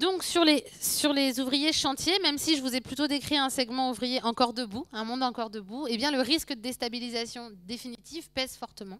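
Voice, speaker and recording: With normal pitch movement, a woman talks in a high voice. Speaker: sociology lecturer. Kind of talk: lecture.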